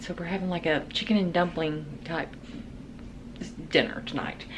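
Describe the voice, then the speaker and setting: A woman is speaking at a moderate pace. Her pitch shows ordinary variation. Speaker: lifestyle vlogger. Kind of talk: casual vlog narration.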